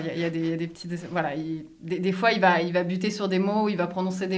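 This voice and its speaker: Against noticeable background noise and audible room echo, a woman talks at a medium pitch. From France. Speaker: French expat in a binational couple. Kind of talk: interview.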